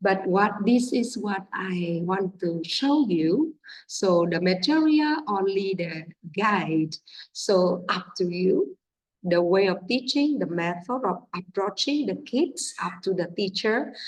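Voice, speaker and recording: A woman's somewhat breathy, medium-pitched voice with lively intonation at a very slow pace. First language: Vietnamese. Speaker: English teacher. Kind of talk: teacher training talk. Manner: halting, many fillers.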